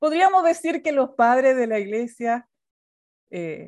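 A woman's high voice with very wide pitch swings, at a fairly slow pace with long, frequent pauses. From Chile. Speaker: pastor and theology teacher. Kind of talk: online lecture.

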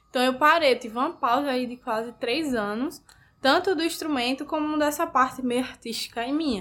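A woman's high voice with ordinary pitch variation, very clean recording, silent background. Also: moderate pace. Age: 20s. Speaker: student and orchestra violinist. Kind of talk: interview.

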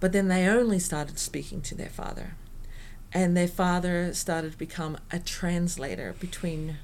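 A woman speaks with an Australian accent at a moderate pace. Her pitch is fairly low. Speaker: performing arts professional. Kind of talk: interview conversation. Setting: indoor venue recording.

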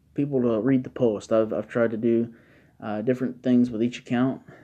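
Against a quiet background, a man of medium pitch speaks in a dark, mellow tone with ordinary pitch variation. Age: 20s. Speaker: political podcast host. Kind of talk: casual solo monologue. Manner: halting, many filler words.

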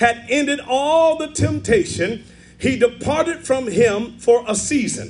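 An animated man with an extremely high pitch and ordinary pitch variation. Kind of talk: sermon. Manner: animated, call-and-response preaching with exclamatory 'yes' and 'say amen' prompts.

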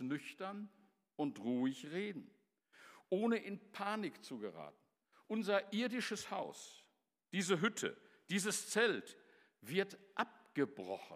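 The man's voice sits high in pitch as he speaks at a fairly slow pace. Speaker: preacher. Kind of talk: sermon delivered to a church congregation, with storytelling and scripture quotes. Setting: church. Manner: earnest, formal and measured, with emphatic repetition of key phrases.

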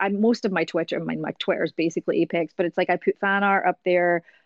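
In a Scottish accent, a woman talks at a medium pitch with monotone, flat intonation. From Scotland. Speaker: voice actor. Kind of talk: interview.

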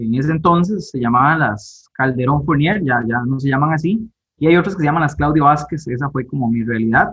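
A man speaks at a fairly quick pace with hardly any pauses, in an ordinary speaking voice. His pitch is fairly high, with ordinary pitch variation. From Costa Rica, Guápiles (Limón). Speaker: university math lecturer and election candidate. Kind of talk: interview.

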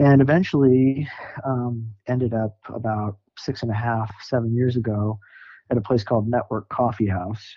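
Here a man with an American accent has a plain, everyday voice at a medium pitch, and his intonation stays fairly even. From US Upper Midwest (Sioux Falls, South Dakota). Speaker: ministry worker and community organizer. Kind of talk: casual interview.

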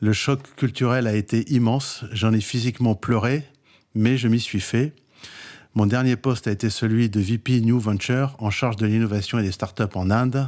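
A man's unremarkable speaking voice at medium pitch, very even in loudness, on a very clean recording with a silent background. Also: fairly even intonation, moderate pace. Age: 60s. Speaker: entrepreneur and startup advisor. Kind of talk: interview.

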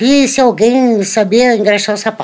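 Very slowly, a woman speaks at a fairly high pitch. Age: 70s. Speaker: elderly woman telling her life story. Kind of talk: storytelling.

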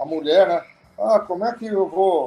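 A man with a high voice and a dark, mellow tone speaks at a very slow pace. His pitch varies in an ordinary way. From Brazil, São Paulo. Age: 50s. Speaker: auto repair shop owner. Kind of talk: casual chat.

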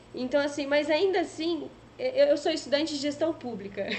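This woman has a high-pitched voice with lively intonation. Noticeable background noise runs behind her. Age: 20s. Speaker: online show host. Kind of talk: casual chat.

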